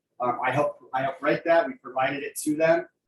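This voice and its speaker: This man's somewhat breathy voice sits fairly high in pitch and keeps a fairly even intonation. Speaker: insurance sales trainer. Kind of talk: business presentation; Q&A answers. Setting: video call. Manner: fast.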